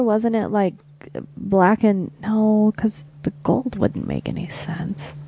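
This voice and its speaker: A woman speaks at a fairly slow pace with a fairly high pitch. Noticeable background noise runs underneath. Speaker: podcast co-host. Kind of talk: casual chat podcast with profanity.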